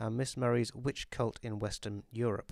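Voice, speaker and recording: A man with a British accent, dry and close with no echo, on a very clean recording with a silent background. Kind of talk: audiobook reading.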